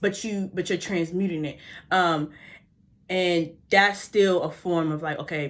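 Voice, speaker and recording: A woman with a slight Baltimore accent speaks at a fairly low pitch with fairly even intonation. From US, Baltimore. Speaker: vlogger. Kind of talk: motivational vlog talk. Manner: fast; casual, halting.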